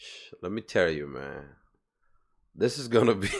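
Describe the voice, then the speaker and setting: With vocal fry and lively intonation, a man talks at a moderate pace on a very clean recording with a silent background. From Sierra Leone, moved to US around age 12. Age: 30s. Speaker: event promoter and DJ. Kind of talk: casual interview chat.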